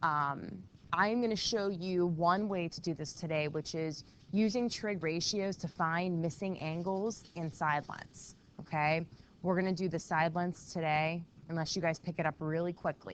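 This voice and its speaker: A woman speaks quietly at a moderate pace. Her voice is fairly low, with fairly even intonation. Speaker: math teacher. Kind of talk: classroom lesson. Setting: classroom.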